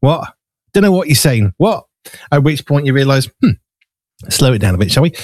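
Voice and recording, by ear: A man talks at a moderate pace in a medium pitch with big pitch swings. His tone is slightly mellow, and the sound is dry and close with no echo.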